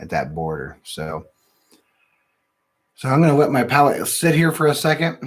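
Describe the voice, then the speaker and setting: A quiet voice with an American accent and very wide pitch swings. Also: man. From Ohio, US Midwest. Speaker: whiskey reviewer, channel host. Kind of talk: casual live-stream tasting review. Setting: live stream from home studio. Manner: quiet, talks under his breath. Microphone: new sensitive mic.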